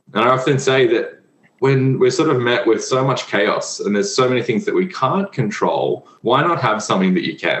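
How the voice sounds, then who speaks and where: Over music in the background, a man with an Australian accent speaks at a moderate pace. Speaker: physiotherapist and breathwork instructor. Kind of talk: casual interview.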